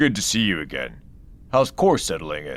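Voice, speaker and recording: This put-on character voice moves at a moderate pace with very wide pitch swings. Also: man. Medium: read story. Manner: warm, hearty.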